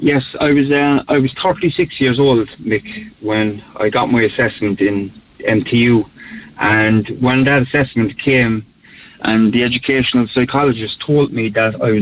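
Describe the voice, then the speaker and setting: There is noticeable background noise as a man talks with a Cork accent. His pitch is medium, with ordinary variation, and his pace is fairly slow. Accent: Cork Irish. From Cork city, north side. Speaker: podcaster and mental health advocate. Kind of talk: interview. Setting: phone call.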